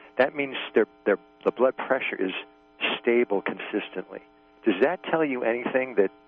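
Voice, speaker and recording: Music plays in the background as a man speaks at a moderate pace and medium pitch, with ordinary pitch variation and long, frequent pauses. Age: 60s. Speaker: caller. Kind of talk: casual chat. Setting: phone call. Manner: halting.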